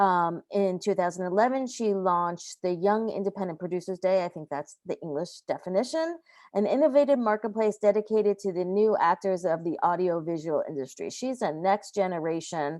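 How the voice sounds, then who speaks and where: A plain, everyday voice from a woman with an American accent, medium in pitch, with lively intonation, a fairly quick pace and hardly any pauses. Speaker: festival director and moderator. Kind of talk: moderating a panel.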